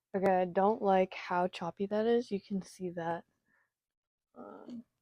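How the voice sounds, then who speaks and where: With a dark, mellow tone, a woman speaks at a fairly slow pace and medium pitch with ordinary pitch variation, the sound dry and close with no echo against a quiet background. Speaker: artist vlogger. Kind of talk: casual talk while drawing.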